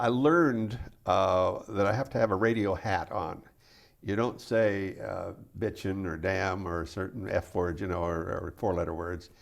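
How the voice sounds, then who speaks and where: An unremarkable speaking voice, this man talks at a moderate pace with an American accent, a fairly low pitch and ordinary pitch variation. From US Pacific Northwest. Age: 60s. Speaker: radio DJ. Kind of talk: casual chat.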